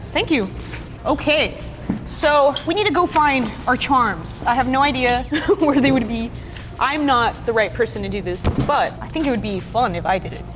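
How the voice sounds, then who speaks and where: Against music in the background and audible room echo, a woman speaks loudly at a high pitch and a moderate pace, with lively intonation. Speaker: slime company content creator. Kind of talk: casual chat. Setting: warehouse. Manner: animated.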